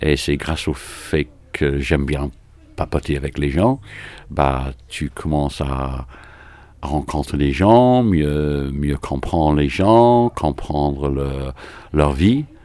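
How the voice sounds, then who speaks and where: Very deep and low, a man's voice moves at a very slow pace with ordinary pitch variation, broken by long, frequent pauses. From England, Manchester. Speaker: rugby club president. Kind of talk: interview.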